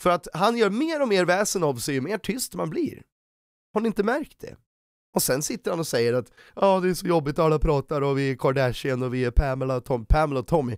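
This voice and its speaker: Animated in tone, a man speaks with fairly high pitch and very wide pitch swings. The sound is dry with no echo, over a quiet background. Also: fairly quick pace. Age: 30s. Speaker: YouTuber. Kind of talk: commentary video. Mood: critical, sarcastic, annoyed. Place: home room. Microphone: studio mic.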